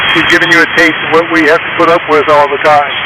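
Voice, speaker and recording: Over noticeable background noise and audible room echo, a man speaks fairly quickly in a high, monotone, flat voice. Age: 70s. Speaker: ham radio operator. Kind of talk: amateur radio contact. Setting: ham radio transmission.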